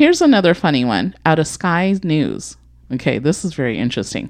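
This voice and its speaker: A woman speaks with a fairly low pitch and vocal fry. Her tone is animated, and the background is quiet. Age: 40s. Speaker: podcast co-host. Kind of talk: casual chat.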